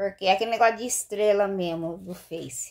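Ordinary pitch variation over a quiet background. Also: woman. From Brazil. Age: 50s. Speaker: vlogger, street vendor. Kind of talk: casual vlog monologue. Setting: bathroom at home. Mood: candid, slightly rueful. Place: home room. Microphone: phone near.

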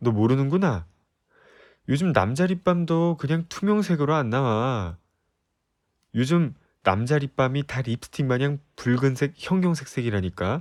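This man speaks at a fairly slow pace with lively intonation, on a very clean recording with a silent background. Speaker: voice actor. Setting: ASMR recording, close-mic studio. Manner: bold, teasing bluster, loudly daring her to look him over.

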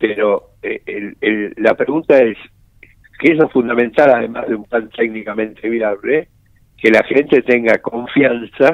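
A man talks fairly slowly at a medium pitch. His is an unremarkable speaking voice. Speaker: economist. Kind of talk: interview.

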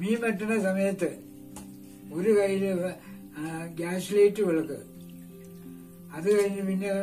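A man speaks at a high pitch with fairly even intonation. Faint music sits in the background. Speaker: village elder, storyteller and home cook; grandfather storyteller. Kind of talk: casual storytelling to camera while cooking. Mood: cheerful, smiling. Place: home room. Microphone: camera far.

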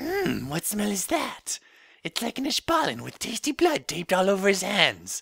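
A put-on character voice from a man, pitched high. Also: moderate pace.

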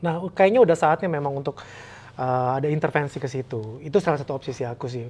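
Talking at a very fast pace, a man speaks at a fairly high pitch. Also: ordinary pitch variation. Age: 40s. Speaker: divorced single father; interview guest. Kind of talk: casual chat. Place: home room.

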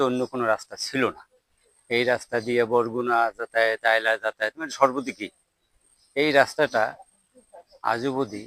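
A man talks in a bright, sharp tone with monotone, flat intonation. The sound is dry and close, with no echo. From Barguna, southern Bangladesh. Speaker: local villager. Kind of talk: street interview.

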